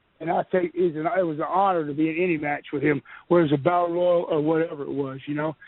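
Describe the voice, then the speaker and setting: A man talks very fast in a Texas accent. His pitch is fairly high and his intonation is monotone and flat. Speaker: retired pro wrestler. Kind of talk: radio interview, storytelling.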